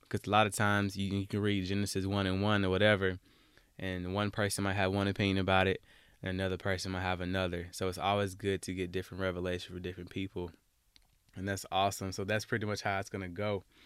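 A man with an Alabama accent talks at a very fast pace in a very deep, low voice, on a very clean recording with a silent background. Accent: Southern US (Alabama). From US South, Alabama. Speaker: podcast host. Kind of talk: casual monologue. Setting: home closet recording. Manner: animated.

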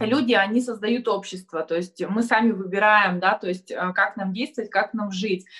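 Ordinary pitch variation and a bright, sharp tone. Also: woman. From Kurgan region, Russia. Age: 30s. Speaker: marketing agency owner and blogger. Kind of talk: live online discussion. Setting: video call.

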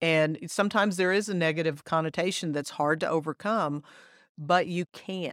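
A woman with an American accent and a fairly low pitch speaks at a moderate pace with fairly even intonation in an ordinary speaking voice, recorded dry and close with no echo in a very clean recording with a silent background. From Texas. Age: 50s. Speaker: tourism marketing executive. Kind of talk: casual interview.

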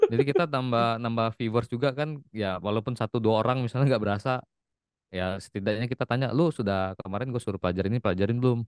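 A man at a very fast pace with a slight Palembang accent, medium pitch and ordinary pitch variation, in a dry, close sound with no echo. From Palembang, South Sumatra, Indonesia. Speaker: IT worker and TikTok content creator. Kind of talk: casual interview chat.

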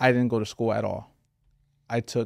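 The man's speech races along very fast while staying at a medium pitch. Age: 30s. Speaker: marketing agency CEO and entrepreneur. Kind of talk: casual chat. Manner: animated.

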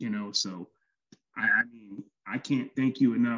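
A man speaks in an American accent at a moderate pace. His tone is bright and sharp, and the sound is dry and close with no echo. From Chicago. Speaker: podcast guest, father. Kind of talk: casual chat. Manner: halting.

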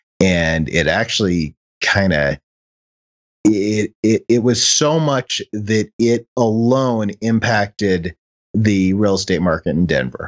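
A voice with an American accent moves at a very slow pace, with lively intonation, very even loudness and a dry, close sound with no echo. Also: man, fairly low pitch for a man. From Chicago. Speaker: podcast host. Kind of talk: casual chat.

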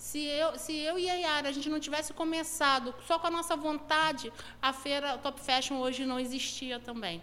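Using a raised, projected voice, a woman speaks at a high pitch and a moderate pace with ordinary pitch variation. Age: 40s. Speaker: entrepreneur and event organizer. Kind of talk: casual interview.

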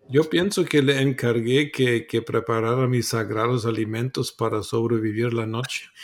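Male speech at a medium pitch and a fairly slow pace, with fairly even intonation and hardly any pauses. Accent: German. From Germany. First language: German (speaking Spanish). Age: 60s. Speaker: preacher, author. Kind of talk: interview on Bible teaching.

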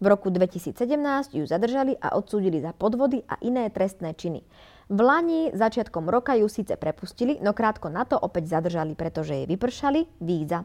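Recorded dry and close with no echo against a quiet background, a woman with a medium pitch talks at a fairly quick pace with very wide pitch swings. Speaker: podcast co-host. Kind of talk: reading aloud; casual chat.

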